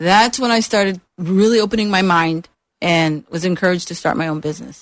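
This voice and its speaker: Speaking very fast with an American accent, a woman uses a medium pitch and ordinary pitch variation. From Upstate New York (Utica). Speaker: business consultant and trainer. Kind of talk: radio interview.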